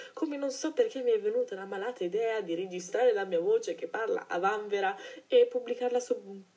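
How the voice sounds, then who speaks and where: Noticeable background noise sits behind the recording. A woman speaks at a fairly quick pace. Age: 20s. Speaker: podcaster. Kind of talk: solo monologue. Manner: hesitant.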